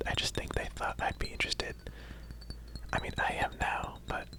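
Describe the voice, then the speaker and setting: There is noticeable background noise as a man whispers. He keeps a moderate pace. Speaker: ASMR creator. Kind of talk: casual talk to camera, personal attention ASMR. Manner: whispered, soft-spoken.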